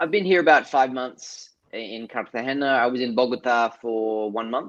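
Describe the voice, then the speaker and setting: A man with an Australian accent at a moderate pace against a quiet background. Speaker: artist and filmmaker. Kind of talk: interview.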